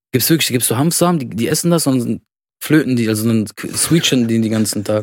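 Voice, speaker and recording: In a normal speaking voice, a man talks at medium pitch. His pace is fairly quick, with ordinary pitch variation. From Germany, Lebanese family. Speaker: podcast co-host. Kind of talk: casual chat.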